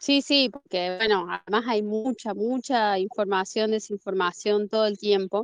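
A woman with a Rioplatense accent talks at a fairly slow pace with fairly even intonation and hardly any pauses. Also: medium pitch for a woman. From Argentina. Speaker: listener calling in. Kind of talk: casual chat. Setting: online live call.

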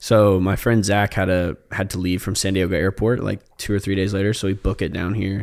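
A man talks at a fairly quick pace with hardly any pauses. His voice is fairly low, with monotone, flat intonation. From Indiana, US Midwest. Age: 20s. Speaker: photographer. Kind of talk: casual chat. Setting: studio.

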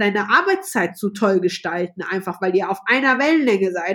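Her pitch swings very widely as this woman speaks at a moderate pace. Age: 30s. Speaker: flight attendant. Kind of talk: interview. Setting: video call. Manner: loud.

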